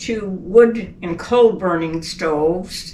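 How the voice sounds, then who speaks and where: Against noticeable background noise, a woman at medium pitch speaks very slowly with ordinary pitch variation. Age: 80s+. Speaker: elderly mother telling life story. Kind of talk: oral history interview.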